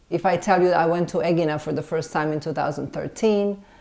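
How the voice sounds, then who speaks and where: A woman speaks with a Serbian accent. She keeps a moderate pace. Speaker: film director and screenwriter. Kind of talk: interview. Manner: hesitant, many fillers and restarts.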